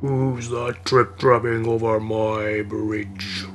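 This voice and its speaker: A man's gruff, put-on character voice at medium pitch and a very slow pace, against clear background noise. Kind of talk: storytelling, fairy tale. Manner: roaring, gruff.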